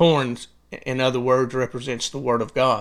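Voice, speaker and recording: The recording is very clean with a silent background. A man with medium pitch and an unremarkable speaking voice talks at a moderate pace. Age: 60s. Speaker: preacher. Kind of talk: sermon.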